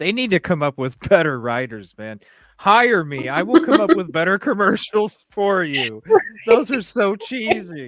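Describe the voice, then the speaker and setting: A man puts on a raspy character voice, pitched high with very wide swings, speaking at a moderate pace. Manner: annoyed, ranting.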